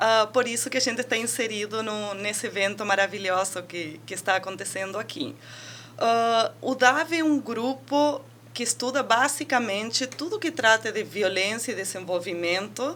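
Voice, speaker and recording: A woman with an Argentine accent speaks at a moderate pace in a fairly high, bright, sharp voice with lively intonation. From Argentina. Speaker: university researcher and professor. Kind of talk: interview.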